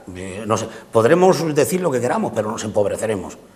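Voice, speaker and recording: A man talks with lively intonation. Background noise can be clearly heard. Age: 70s. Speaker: political commentator. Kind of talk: political panel debate. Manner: halting, with many fillers.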